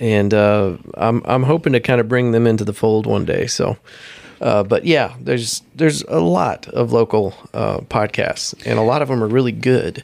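An unremarkable speaking voice moves at a moderate pace with very even loudness and ordinary pitch variation. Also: man, medium pitch for a man. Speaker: podcaster. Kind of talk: casual chat.

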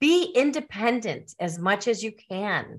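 Here a woman speaks with lively intonation. The recording is very clean, with a silent background. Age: 60s. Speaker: retired teacher and author. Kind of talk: casual interview.

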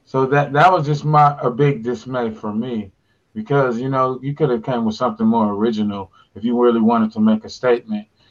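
A man's plain, everyday voice at medium pitch, fairly quick in pace, with an American accent, fairly even intonation and a quiet background. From US West Coast, Pasadena, California. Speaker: podcast co-host. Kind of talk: casual chat. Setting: video call.

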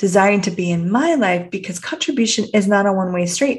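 This woman has a warm tone, a medium pitch, and a somewhat breathy voice in a Canadian accent. Her intonation is lively. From Canada. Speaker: podcast host, personal development coach. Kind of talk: reflective solo podcast monologue. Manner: warm, inquisitive, with frequent laughs.

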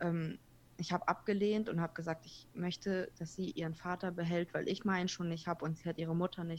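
A woman's fairly low, monotone voice at a fairly quick pace, flat in intonation, on a very clean recording with a silent background. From Kazakhstan, moved to Germany at seven. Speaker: podcaster. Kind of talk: interview.

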